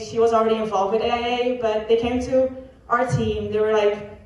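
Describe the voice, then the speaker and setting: Over noticeable background noise and audible room echo, a woman speaks at a fairly quick pace in a fairly high pitch. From Netherlands. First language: Dutch. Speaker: college athlete. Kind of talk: testimony.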